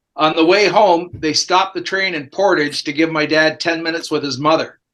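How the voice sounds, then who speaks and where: Over a quiet background, a man with a Canadian accent talks at a fairly quick pace with fairly even intonation. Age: 60s. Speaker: sports reporter. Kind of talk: casual chat. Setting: podcast.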